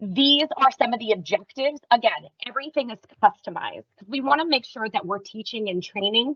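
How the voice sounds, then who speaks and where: A woman talks at a fairly quick pace. Her intonation is lively, with big swings in loudness. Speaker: software training presenter. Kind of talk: webinar presentation. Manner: fast.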